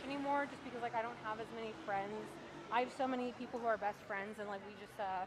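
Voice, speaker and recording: A woman talks at a very fast pace in a fairly high pitch. Noticeable background noise is present. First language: Romanian. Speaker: live streamer, mobile game player. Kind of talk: casual live stream chat.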